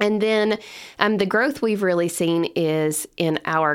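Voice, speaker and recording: A woman with a Kentucky accent speaks at a medium pitch and a fairly slow pace. Her intonation is lively, and the recording is very clean with a silent background. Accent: Kentucky Southern US. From Kentucky (Lebanon). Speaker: summer camp executive director. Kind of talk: podcast interview. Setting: studio.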